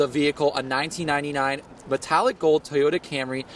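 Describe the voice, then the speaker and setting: A man with an ordinary speaking voice talks at a fairly quick pace and a fairly high pitch. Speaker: student broadcast reporter and anchor. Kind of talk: TV news reporter stand-up and live shot delivery.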